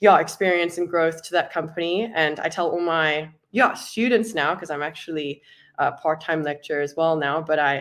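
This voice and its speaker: Against a quiet background, a woman with a fairly low pitch talks at a moderate pace with ordinary pitch variation. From South Africa. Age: 20s. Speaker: product designer. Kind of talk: panel discussion. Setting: live online meetup.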